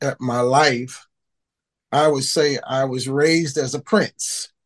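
A man with an American accent and a fairly high pitch, fairly even intonation, and a dry, close sound with no echo. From Baltimore, Maryland (East Baltimore). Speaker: heritage foundation founder and author. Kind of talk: casual interview.

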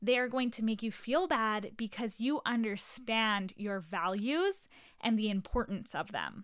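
A woman's fairly high voice, animated in tone, at a fairly slow pace. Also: ordinary pitch variation. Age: 20s. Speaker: podcast host. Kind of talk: casual monologue.

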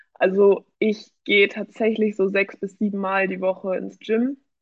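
This woman has an unremarkable speaking voice at a medium pitch, talking at a fairly slow pace with fairly even intonation. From Germany, Hamburg. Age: 20s. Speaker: amateur bodybuilder. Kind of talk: casual interview.

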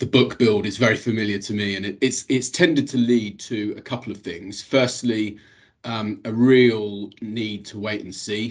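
A man with a British accent, his intonation fairly even, against a quiet background. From England. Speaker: class actions lawyer. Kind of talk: professional panel discussion.

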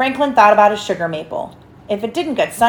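Lively intonation throughout plain reading aloud

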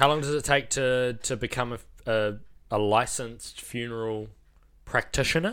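Speaking at a moderate pace with a New Zealand accent, a man with a medium-pitched voice keeps his intonation fairly even on a very clean recording with a silent background. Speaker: funeral director and podcast host. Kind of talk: casual chat.

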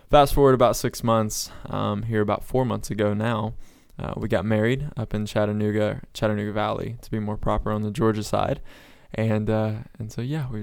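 An unremarkable speaking voice belongs to a man who talks at a moderate pace, fairly low in pitch and with fairly even intonation. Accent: American. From Florida. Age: 20s. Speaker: evangelist. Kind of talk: casual chat.

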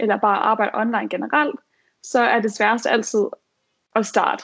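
She has a normal speaking voice with a fairly high pitch. The woman talks at a moderate pace. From Denmark, Aarhus. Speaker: virtual assistant. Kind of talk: advice talk.

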